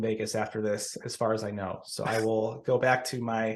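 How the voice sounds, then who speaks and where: A man speaks in an American accent. His tone is energetic and his pace fairly quick. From US Southwest (Tucson, Arizona). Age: 30s. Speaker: pharmacist and improv comedian. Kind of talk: podcast interview. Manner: energetic, with many self-repetitions.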